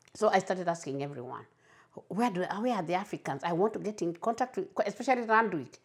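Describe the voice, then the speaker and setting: Speaking very fast with lively intonation, a woman at medium pitch talks in a Kenyan accent. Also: very clean recording, silent background. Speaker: community advocate for migrants. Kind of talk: interview, personal testimony. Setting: at home. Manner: halting, repeats words.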